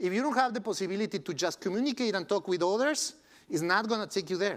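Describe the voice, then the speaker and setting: Very fast speech in a Spanish accent with lively intonation, in a very clean recording with a silent background. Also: man. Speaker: tech company co-founder. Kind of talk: conference keynote talk.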